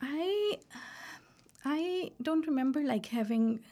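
Somewhat breathy with a dark, mellow tone, a woman speaks at a fairly slow pace with ordinary pitch variation on a very clean recording with a silent background. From Pakistan. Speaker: PhD student in counseling. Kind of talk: interview testimony.

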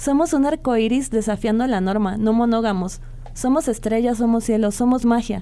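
Against noticeable background noise, a woman speaks at a moderate pace with a fairly high pitch and ordinary pitch variation. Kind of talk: spoken-word poetry reading, a slam-style love poem performed live on radio. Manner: passionate, intimate, lyrical and fervent, like a vow to a lover.

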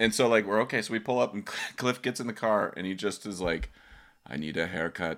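On a very clean recording with a silent background, a man speaks at a fairly quick pace in an ordinary speaking voice, his pitch fairly low with ordinary variation. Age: 40s. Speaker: podcast host and steel pan player. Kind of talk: casual chat.

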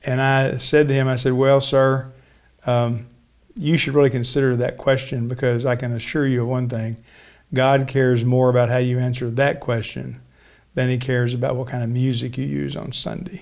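Audible room echo surrounds a man speaking at a moderate pace and medium pitch in a monotone, flat intonation. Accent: American. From Texas (Richardson, near Dallas). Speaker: pastor and charity executive. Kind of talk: interview conversation.

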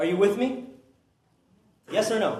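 Ordinary pitch variation from a man, with audible echo from the room. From Peru. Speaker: preacher. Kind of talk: sermon. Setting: church. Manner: animated.

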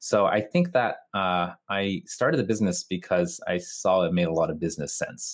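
A man is speaking here. He talks with a North American accent. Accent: North American-sounding English. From Japan (Tokyo). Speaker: video marketer and producer. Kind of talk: podcast interview. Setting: remote call.

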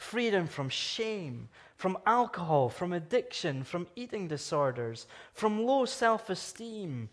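With a Scottish accent, the speaker goes at a very slow pace while the pitch swings very widely. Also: man. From Scotland. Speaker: guest preacher from anti-trafficking charity. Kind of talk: sermon. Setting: church service with congregation.

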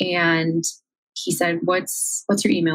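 With an American accent, a woman talks at a fairly low pitch. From rural Iowa, US Midwest. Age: 20s. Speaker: social media manager. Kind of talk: interview conversation.

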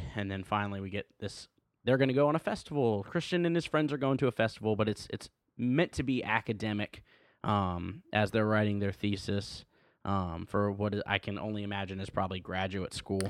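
An unremarkable speaking voice from a man, fairly low in pitch and fairly quick, with ordinary pitch variation, in a very clean, dry, close recording with a silent background and no echo. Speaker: co-host film reviewer. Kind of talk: casual chat.

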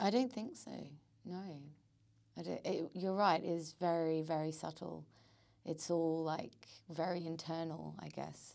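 At a fairly slow pace, a woman with a dark, mellow tone and ordinary pitch variation speaks with long, frequent pauses. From Australia. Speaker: actor. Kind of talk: casual podcast interview.

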